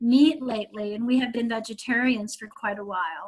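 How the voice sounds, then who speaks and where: Her pitch is high for a woman. She talks at a moderate pace. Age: 60s. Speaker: caller getting a psychic reading. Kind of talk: casual chat. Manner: halting.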